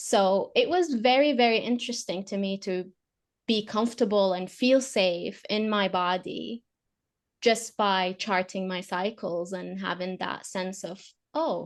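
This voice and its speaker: Against a quiet background, a woman with an Arabic accent speaks fairly slowly at medium pitch with ordinary pitch variation. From Saudi Arabia. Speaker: fertility awareness educator. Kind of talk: podcast interview. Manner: hesitant, with fillers.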